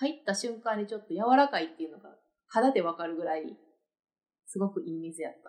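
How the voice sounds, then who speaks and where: A woman in a Kansai accent talks at a fairly quick pace with lively intonation. Her loudness swings a lot. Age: 30s. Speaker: podcast co-host. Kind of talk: casual chat.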